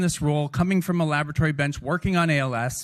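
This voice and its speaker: Someone with a Canadian accent talks in an animated tone. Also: man. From Canada, Toronto. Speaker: ALS research scientist. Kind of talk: conference talk. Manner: fast.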